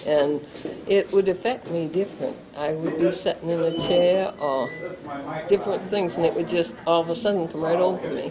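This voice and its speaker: Amid noticeable background noise, a woman with a fairly low pitch and ordinary pitch variation speaks at a moderate pace. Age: 70s. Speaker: stroke survivor. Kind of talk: interview. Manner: terse replies.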